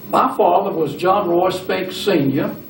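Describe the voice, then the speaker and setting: Amid noticeable background noise and audible room echo, a man with a Southern US accent talks at a fairly slow pace with lively intonation. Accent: Southern US (Georgia). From US South, LaGrange, Georgia. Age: 80s+. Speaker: retired businessman, church member. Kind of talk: oral history interview.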